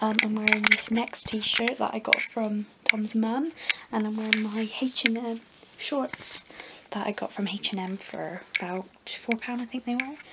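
Over loud background noise, a woman with an English accent speaks at a fairly slow pace, fairly high in pitch, with fairly even intonation. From England. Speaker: vlogger. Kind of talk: casual vlog. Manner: halting. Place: home room. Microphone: phone near.

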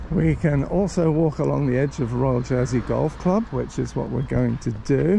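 Noticeable background noise is present throughout. The speaker keeps a moderate pace with hardly any pauses. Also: man. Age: 60s. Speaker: walking vlogger. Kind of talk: casual vlog narration while walking. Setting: outdoors.

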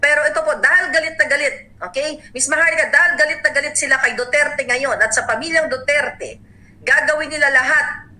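Over noticeable background noise, a woman's raised, projected voice runs at a very fast pace and a high pitch with ordinary pitch variation. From Davao, Philippines. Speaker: political vlogger. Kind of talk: angry political rant, indignant and accusatory. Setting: online video channel monologue. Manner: furious, seething, emphatic and impassioned; urgent, warning tone, addressing listeners directly.

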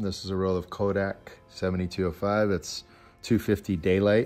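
A man's intonation stays fairly even, with faint music in the background. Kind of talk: tutorial. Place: home room.

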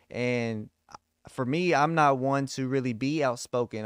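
Over a quiet background, a man speaks at medium pitch with ordinary pitch variation. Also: dry sound with no echo. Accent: American. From Texas. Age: 30s. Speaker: podcast host. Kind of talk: casual interview. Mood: calm, earnest. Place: home room. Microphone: studio mic.

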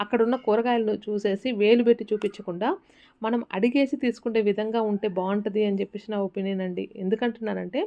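With a fairly high pitch and fairly even intonation, a woman speaks in a normal speaking voice. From Rayalaseema, Andhra Pradesh. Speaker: homemaker vlogger. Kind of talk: casual vlog narration. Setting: at home.

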